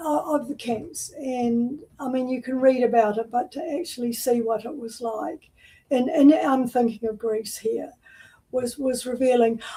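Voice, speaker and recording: A woman speaks at a high pitch with a New Zealand accent and a dark, mellow tone. Her pace is fairly slow, with ordinary pitch variation. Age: 70s. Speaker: artist. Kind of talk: interview. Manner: halting.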